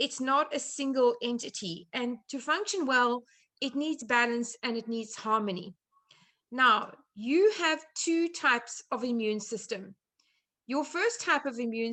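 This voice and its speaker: A woman speaks with a South African accent and lively intonation. Her high-pitched voice has a bright, sharp tone. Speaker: chef and nutrition therapist. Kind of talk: online presentation. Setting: video call.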